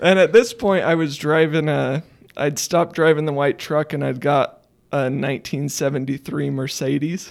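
At a moderate pace, a man speaks in a plain, everyday voice with ordinary pitch variation. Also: fairly high pitch for a man. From Idaho, US (small town). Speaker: photographer and geology student. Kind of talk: casual chat.

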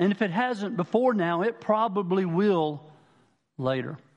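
In a South Carolina accent, a man speaks with lively intonation. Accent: Southern US, South Carolina. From Manning, South Carolina. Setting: church.

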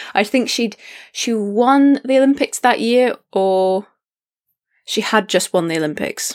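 Fairly high-pitched woman in a Scottish accent, fairly slow, with ordinary pitch variation, dry, close sound with no echo and a very clean recording with a silent background. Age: 20s. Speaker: fencer and youth coach. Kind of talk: casual chat.

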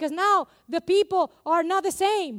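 In a dry, close sound with no echo, a woman with a non-native accent speaks in an animated tone, her extremely high pitch showing ordinary variation. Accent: non-native accent, noticeable. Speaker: preacher. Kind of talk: sermon. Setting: church. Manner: animated, engaging the congregation.

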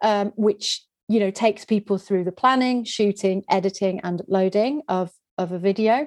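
With a Yorkshire accent, a woman talks at a moderate pace and medium pitch, using ordinary pitch variation, the sound dry and close with no echo. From West Yorkshire, England. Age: 40s. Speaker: video producer and trainer. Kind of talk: interview. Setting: video call.

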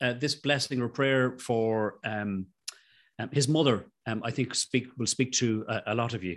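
Against a quiet background, a man with an Irish accent speaks at a fairly slow pace with ordinary pitch variation. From Ireland. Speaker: rheumatologist. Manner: halting.

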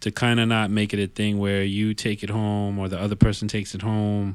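In a New York accent, a man speaks fairly low and monotone, with flat intonation, at a moderate pace on a very clean recording with a silent background. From New York City area (Yonkers). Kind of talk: casual chat. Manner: halting, many repetitions.

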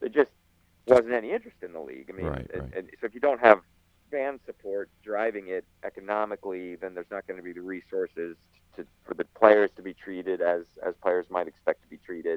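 This man talks at a fairly quick pace with a fairly low pitch and ordinary pitch variation. His loudness swings a lot. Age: 50s. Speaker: goalkeeper coach. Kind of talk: interview. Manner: halting.

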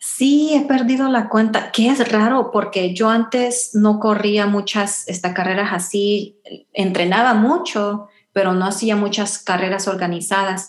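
Over noticeable background noise, a woman speaks at a fairly slow pace with very even loudness. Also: medium pitch for a woman, ordinary pitch variation. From Houston, Texas (Salvadoran family). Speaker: runner. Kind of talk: interview. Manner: halting.

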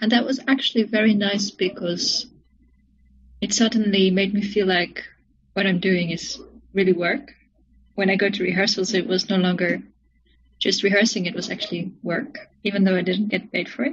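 At a moderate pace, a somewhat breathy woman with a medium pitch speaks with long, frequent pauses. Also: ordinary pitch variation. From South Africa, moved to Netherlands at 13. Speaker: cellist and composer. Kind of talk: casual interview.

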